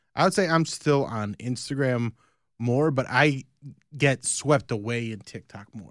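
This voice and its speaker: A man with an unremarkable speaking voice, medium pitch and ordinary pitch variation, big swings in loudness, a fairly slow pace, and a very clean recording with a silent background. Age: 40s. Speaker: podcast host. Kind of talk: casual chat.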